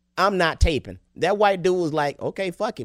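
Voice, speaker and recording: A man talks in a Southern US accent. The recording is very clean with a silent background, dry and close with no echo. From Alabama (Tuscaloosa). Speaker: comedian. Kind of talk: casual chat. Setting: studio.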